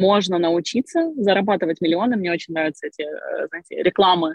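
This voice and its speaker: Medium-pitched female voice with ordinary pitch variation. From Crimea, Ukraine. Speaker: online school co-founder. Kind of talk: interview. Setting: video call from a car.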